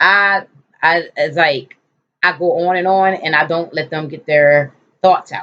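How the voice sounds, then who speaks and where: The voice has a bright, sharp tone, an animated delivery and ordinary pitch variation. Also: woman. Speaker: lifestyle vlogger. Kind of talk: casual vlog monologue. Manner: fast.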